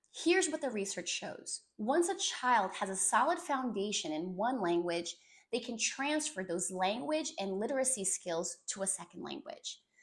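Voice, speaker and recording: A woman with a Portuguese accent speaks at a moderate pace with hardly any pauses, her fairly high, warm voice making very wide pitch swings. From Brazil. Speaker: parenting vlogger. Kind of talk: advice talk to camera. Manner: warm, encouraging.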